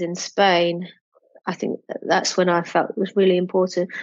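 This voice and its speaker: At a moderate pace, a woman talks in an English accent at a medium pitch. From England. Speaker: entrepreneur and children's book publisher. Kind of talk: interview.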